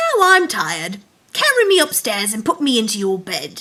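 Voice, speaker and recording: A woman performs a put-on character voice at a high pitch. Her pace is moderate. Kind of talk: bedtime story. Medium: read story.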